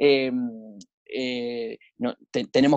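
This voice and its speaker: In a Rioplatense accent, a man talks with fairly even intonation at a fairly high pitch. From Argentina, Buenos Aires. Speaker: lawyer and HIV activist. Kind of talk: podcast interview. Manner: halting, frequent repetitions and fillers.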